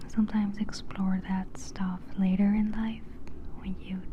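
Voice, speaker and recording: The speaker is soft-spoken, with a relaxed tone and a very slow pace. Noticeable background noise runs underneath. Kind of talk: ASMR ramble, casual talk to camera. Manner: soft-spoken, relaxed.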